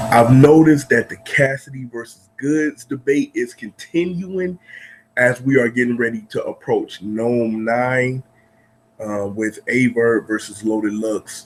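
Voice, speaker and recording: Music in the background behind a man at medium pitch, speaking at a fairly slow pace with ordinary pitch variation. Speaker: battle rap commentator. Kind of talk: casual video commentary.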